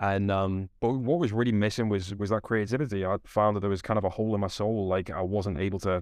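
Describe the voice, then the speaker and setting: An unremarkable speaking voice moves at a fairly quick pace with fairly even intonation over a quiet background. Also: man. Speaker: company CEO. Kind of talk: interview answers.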